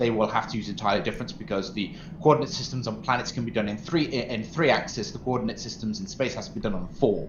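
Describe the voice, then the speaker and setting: In a room with audible echo, a man speaks at a very fast pace with lively intonation. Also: medium pitch for a man, hardly any pauses. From English Midlands, Mansfield, Nottinghamshire; later Norfolk. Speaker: gaming streamer. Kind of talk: casual chat.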